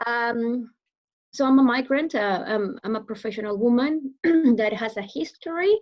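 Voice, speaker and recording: A woman speaks in a Venezuelan accent at a high pitch. Her intonation is lively, her pace moderate. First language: Spanish. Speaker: public speaker. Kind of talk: interview. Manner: hesitant, many fillers.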